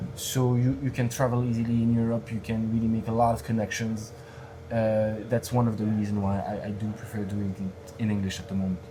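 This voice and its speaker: In a monotone, flat delivery, a man speaks at a medium pitch and a fairly quick pace. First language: French. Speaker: stand-up comedian. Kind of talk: casual interview chat. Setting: bar cellar podcast recording. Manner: halting, many fillers and repeats.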